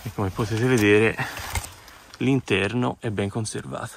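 A quiet man's voice at a fairly slow pace with ordinary pitch variation, dry with no echo, amid noticeable background noise. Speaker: urban explorer vlogger; urban explorer narrator. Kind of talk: walkthrough video commentary. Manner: quiet, speaking low. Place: open country. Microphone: phone near.

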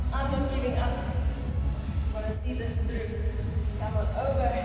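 Clear music plays behind a woman with audible room echo. She speaks at a fairly slow pace. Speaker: fitness instructor. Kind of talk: workout instruction. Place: gym. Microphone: camera far.

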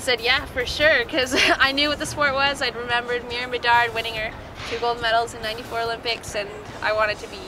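A woman talking at a very fast pace with fairly even intonation, dry sound with no echo, and clear music in the background. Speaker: interviewee. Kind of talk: interview answer. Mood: cheerful, laughing. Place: street.

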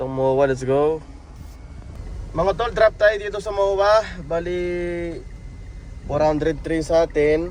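At a very slow pace with long, frequent pauses, a man speaks at a high pitch with ordinary pitch variation. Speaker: ride-hailing driver and vlogger. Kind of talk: casual vlog narration. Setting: in a car. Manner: casual, chatty.

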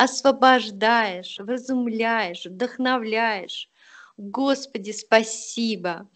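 Against a quiet background, a woman with a fairly high pitch speaks very slowly, her intonation fairly even. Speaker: class participant. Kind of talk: testimony. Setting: video call. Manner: halting.

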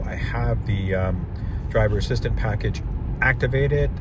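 Over loud background noise, a man speaks with a dry sound and no echo. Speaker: car reviewer driving. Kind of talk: casual review commentary. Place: car.

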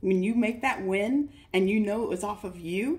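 A woman with an American accent sounds somewhat breathy and animated, with lively intonation. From US West Coast, Northern California Bay Area. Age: 30s. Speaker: trading course student. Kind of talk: testimonial. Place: home room. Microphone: phone near.

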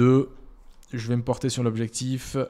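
A man talks in a dark, mellow tone. The background is silent and the recording very clean. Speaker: YouTube wargaming channel host. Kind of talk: rules review video, tutorial style. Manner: hesitant, frequent filler sounds.

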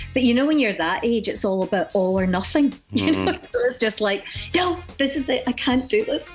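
Faint music plays in the background as a woman talks at a fairly quick pace with a high pitch and very wide pitch swings. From Glasgow, Scotland. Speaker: singer and actress. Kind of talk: radio interview answer. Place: studio.

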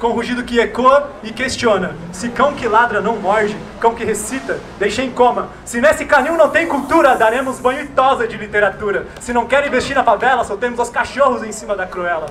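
Pitched extremely high, a man talks with hardly any pauses and ordinary pitch variation over light background noise. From Brazil, São Paulo east side. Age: young. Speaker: slam poet. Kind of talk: spoken word performance. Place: street. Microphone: handheld.

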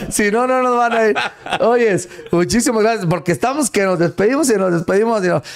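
A man talks at a fairly quick pace and high pitch, with very even loudness and ordinary pitch variation. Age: 40s. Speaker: radio host. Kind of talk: casual chat. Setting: studio. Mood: friendly, animated. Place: studio. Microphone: studio mic.

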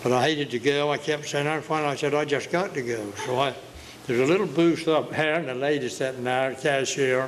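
Over light background noise, a man with an Outer Banks accent speaks at a fairly quick pace with fairly even intonation. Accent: Outer Banks brogue. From Outer Banks, eastern North Carolina; North Carolina. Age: 80s+. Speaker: retired commercial fisherman; local storyteller. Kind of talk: storytelling interview. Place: hall. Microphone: handheld.

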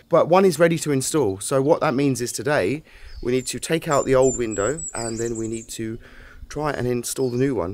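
With an English accent, a man speaks at a very fast pace, his medium pitch moving with ordinary variation. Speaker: DIY renovation vlogger. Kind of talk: casual vlog narration. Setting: outdoors.

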